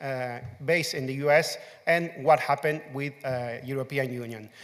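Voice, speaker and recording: Ordinary pitch variation from a man with a Spanish accent. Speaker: open source community manager. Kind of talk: conference talk. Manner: loud.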